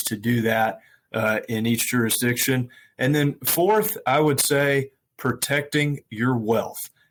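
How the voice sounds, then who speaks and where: With an American accent, a man talks at a fairly slow pace, his medium pitch showing ordinary variation. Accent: US Southern accent, remarked on. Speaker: estate planning lawyer. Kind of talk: interview. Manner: many fillers (uh, um).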